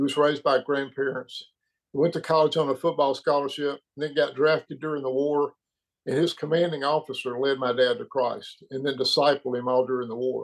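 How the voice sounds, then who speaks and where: In an American accent, a man speaks at a fairly quick pace with an unremarkable speaking voice. His pitch is fairly high and his intonation fairly even. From Birmingham, Alabama, US South. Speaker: retired financial advisor. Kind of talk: testimony. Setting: video call.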